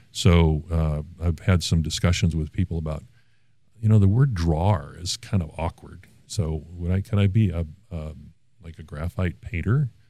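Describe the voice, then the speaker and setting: This voice has a dark, mellow tone and ordinary pitch variation. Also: man, very deep, low pitch for a man, moderate pace. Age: 60s. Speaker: artist. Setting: studio.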